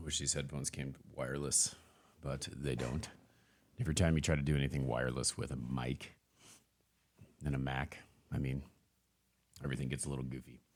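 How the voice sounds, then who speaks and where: There is vocal fry in this man's very deep, low voice as he talks at a fairly quick pace. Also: long, frequent pauses. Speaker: motivational podcaster. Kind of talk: casual monologue. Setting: livestream.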